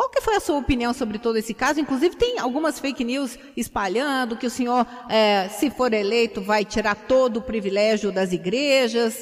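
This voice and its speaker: High-pitched female speech at a moderate pace with ordinary pitch variation over noticeable background noise. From Curitiba, Brazil. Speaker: radio journalist. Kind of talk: radio interview. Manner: halting.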